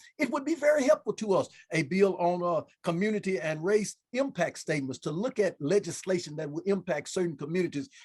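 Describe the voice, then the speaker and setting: A man with a high voice and an American accent talks at a fairly quick pace, his pitch swinging very widely. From US South, Memphis, Tennessee. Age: 60s. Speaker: state senator and pastor. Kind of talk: panel discussion. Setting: video call. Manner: halting, repeats words.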